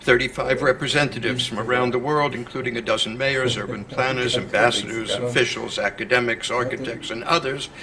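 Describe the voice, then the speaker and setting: Amid noticeable background noise and audible room echo, a man speaks at a medium pitch and fairly quick pace with fairly even intonation and hardly any pauses. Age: 70s. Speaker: conference speaker, organization president. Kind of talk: prepared conference speech. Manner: formal.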